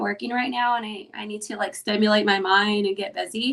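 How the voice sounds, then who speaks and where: Speaking in an unremarkable speaking voice with an American accent, a woman has a fairly high pitch, ordinary pitch variation and a moderate pace. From Mexican heritage, US. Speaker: interviewer, mom group organizer. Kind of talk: casual interview.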